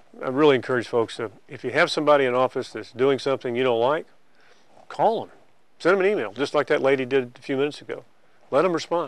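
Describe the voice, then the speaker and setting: A man with an American accent at a very fast pace and fairly high pitch, against a quiet background. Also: ordinary pitch variation. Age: 60s. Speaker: state official. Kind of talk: interview. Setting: office.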